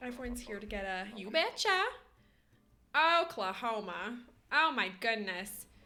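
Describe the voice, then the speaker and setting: A woman's fairly high voice with long, frequent pauses, big swings in loudness, and audible room echo. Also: lively intonation, moderate pace. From western Canada. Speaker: streamer. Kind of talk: casual live-stream chat. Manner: animated.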